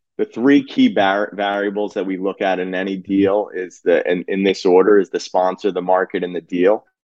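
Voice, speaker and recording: In a New Jersey accent, a man speaks with monotone, flat intonation and hardly any pauses. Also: fairly low pitch for a man, moderate pace. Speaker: physician and real estate investor. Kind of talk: casual interview chat.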